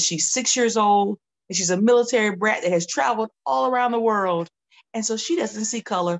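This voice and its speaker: Over a quiet background, a woman with a Southern US accent speaks with lively intonation. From US South, Georgia. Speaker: children's author. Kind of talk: promotional talk. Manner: animated. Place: home room.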